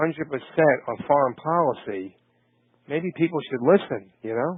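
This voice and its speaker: Speaking with a Brooklyn accent, a man keeps a moderate pace and ordinary pitch variation. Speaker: podcast host. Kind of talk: interview. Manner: halting, many fillers.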